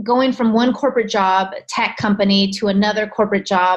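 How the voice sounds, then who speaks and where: A normal speaking voice with an American accent delivers the words at a moderate pace. Its intonation is fairly even. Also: woman. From California. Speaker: alopecia coach. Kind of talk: podcast interview.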